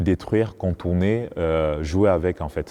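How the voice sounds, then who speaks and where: A man's very deep, low voice with a dark, mellow tone over a quiet background. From Cameroon. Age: 30s. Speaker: choreographer and dancer. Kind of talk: interview. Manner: hesitant, many fillers.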